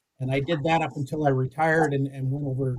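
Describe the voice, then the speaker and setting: In a western Canadian accent, a somewhat breathy man talks at a fairly quick pace with a fairly high pitch and monotone, flat intonation, recorded dry and close with no echo. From Alberta, Canada. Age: 60s. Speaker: safety advisor in powerline construction. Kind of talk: podcast interview.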